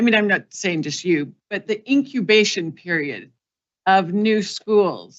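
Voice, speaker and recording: Ordinary pitch variation in a woman's medium-pitched voice. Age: 60s. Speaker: school board trustee. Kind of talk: public testimony. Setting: public board meeting. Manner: impassioned.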